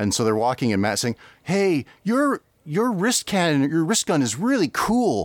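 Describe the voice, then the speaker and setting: On a very clean recording with a silent background, a man speaks at a moderate pace in a fairly high voice with very wide pitch swings. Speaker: podcast host. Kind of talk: casual chat. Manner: joking, playful.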